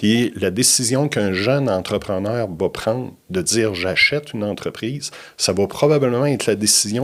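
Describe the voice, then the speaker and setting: In a normal speaking voice, the speaker moves at a fairly slow pace with ordinary pitch variation. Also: man. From Quebec, Bas-Saint-Laurent (Trois-Pistoles). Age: 60s. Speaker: business consultant. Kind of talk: podcast interview.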